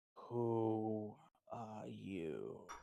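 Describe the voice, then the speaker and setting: The speaker uses a put-on character voice pitched low. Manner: questioning.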